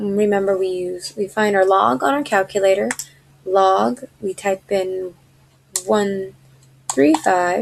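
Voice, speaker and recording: Amid noticeable background noise, a woman of medium pitch talks at a very slow pace with long, frequent pauses and ordinary pitch variation. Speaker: math tutor. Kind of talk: tutorial. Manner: casual, conversational.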